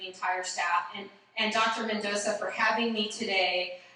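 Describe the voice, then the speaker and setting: A woman's monotone, flat delivery amid audible room echo and noticeable background noise. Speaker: school superintendent. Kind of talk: keynote speech. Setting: conference stage with audience. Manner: loud.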